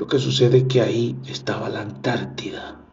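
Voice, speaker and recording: A man amid audible room echo and noticeable background noise. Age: 50s. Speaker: podcast host. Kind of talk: casual monologue. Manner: halting.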